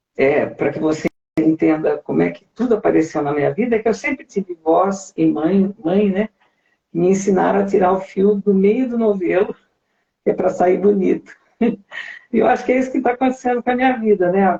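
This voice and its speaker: At a moderate pace, a woman of medium pitch speaks with lively intonation and a dark, mellow, somewhat breathy tone, the sound dry and close with no echo. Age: 60s. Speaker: singer. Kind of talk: interview.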